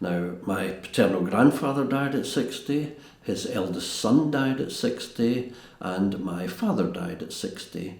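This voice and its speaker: With a Glaswegian accent, a man at medium pitch speaks fairly slowly with lively intonation, amid audible room echo and noticeable background noise. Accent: Glaswegian Scottish. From Scotland, East End of Glasgow. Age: 70s. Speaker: castle restorer. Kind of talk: interview reminiscence. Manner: halting.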